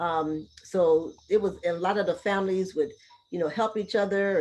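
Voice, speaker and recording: A woman speaks at a medium pitch with fairly even intonation in an unremarkable speaking voice. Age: 60s. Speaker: community member. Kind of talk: casual chat.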